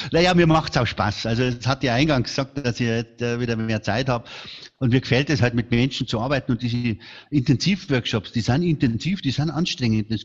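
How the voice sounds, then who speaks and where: Fairly quick and somewhat breathy, a man talks at a medium pitch. His pitch variation is ordinary. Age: 60s. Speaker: speaker agency founder. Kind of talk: interview. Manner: animated.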